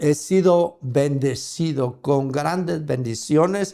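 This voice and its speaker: Speaking at a very slow pace, a man with a fairly high pitch has a dark, mellow tone and ordinary pitch variation. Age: 70s. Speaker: preacher. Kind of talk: sermon. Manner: halting.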